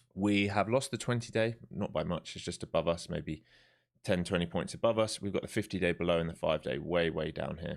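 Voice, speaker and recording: A man with a very deep, low voice talks at a fairly quick pace with ordinary pitch variation. The recording is very clean, with a silent background. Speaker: day trader streamer. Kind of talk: live trading commentary. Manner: casual, conversational.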